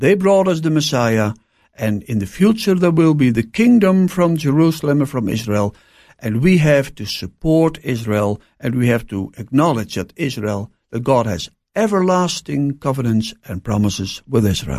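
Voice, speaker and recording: With a Dutch accent, a man speaks at a moderate pace in a medium-pitched voice whose pitch swings very widely, on a very clean recording with a silent background. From Netherlands. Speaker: pastor. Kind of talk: interview. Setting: studio. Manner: halting.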